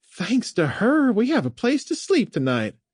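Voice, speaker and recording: This is a put-on character voice. Its pitch is fairly high. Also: moderate pace. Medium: read story. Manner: chatty, warm.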